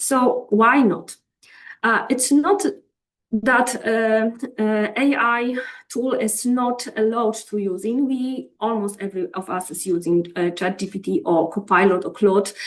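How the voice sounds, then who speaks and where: In a fairly high pitch with ordinary pitch variation, a woman with a non-native accent speaks at a fairly slow pace. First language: not English. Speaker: professor. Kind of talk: lecture. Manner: halting, many fillers.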